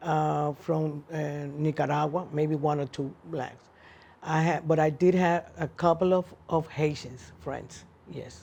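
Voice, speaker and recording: In a Cuban accent, a woman speaks at a very deep, low pitch with a dark, mellow tone. Her pace is very slow and her intonation monotone and flat. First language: Spanish. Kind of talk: oral history interview answer.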